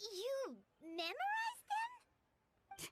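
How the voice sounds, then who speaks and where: This is a squeaky, put-on character voice. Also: woman, extremely high pitch for a woman. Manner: surprised, incredulous.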